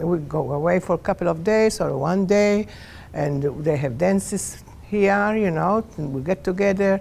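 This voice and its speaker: With a Maltese accent, a woman speaks at a moderate pace in a fairly low, dark, mellow voice with ordinary pitch variation. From Malta. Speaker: Maltese immigrant. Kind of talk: personal testimony interview. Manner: halting.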